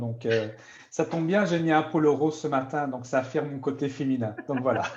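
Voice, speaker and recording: With a normal speaking voice, a man talks at a moderate pace, his pitch fairly high and its variation ordinary. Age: 50s. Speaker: product user testimonial. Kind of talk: sales pitch. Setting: live stream.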